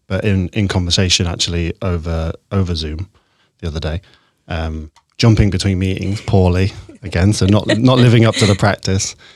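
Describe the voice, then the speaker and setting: With a very deep, low pitch and fairly even intonation, a man speaks at a moderate pace on a very clean, dry, close recording with no echo and a silent background. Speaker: podcast host. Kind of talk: casual interview.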